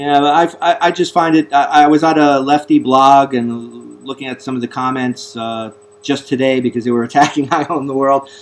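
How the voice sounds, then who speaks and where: A man with a Bronx accent speaks at a moderate pace and fairly high pitch, with fairly even intonation and hardly any pauses. Noticeable background noise runs underneath. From US Northeast, the Bronx, New York. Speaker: talk show host. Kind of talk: interview. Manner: halting, repeats words.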